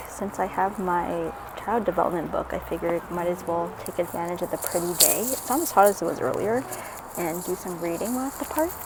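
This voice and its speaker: Fairly quick pace amid noticeable background noise. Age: 20s. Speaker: vlogger and student. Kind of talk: casual vlog talk.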